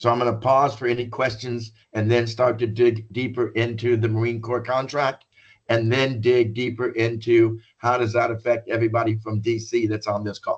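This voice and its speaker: A somewhat breathy man speaks at a moderate pace in a monotone, flat intonation, with hardly any pauses. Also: medium pitch for a man. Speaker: business consultant presenting a contract bid. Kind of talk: informational presentation. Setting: conference call.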